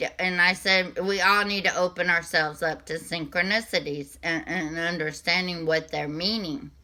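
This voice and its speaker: With a Southern US accent, a woman speaks at a fairly low pitch and a moderate pace, her pitch varying in an ordinary way. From US South. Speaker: spiritual reader / channel host. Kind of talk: casual spiritual vlog monologue. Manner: halting, many fillers and restarts.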